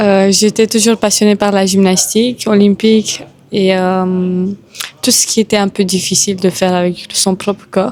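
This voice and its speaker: A woman's medium-pitched voice, flat and monotone, at a fairly slow pace with very even loudness. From Romania. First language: Romanian (speaking French). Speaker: Muay Thai boxer. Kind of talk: interview.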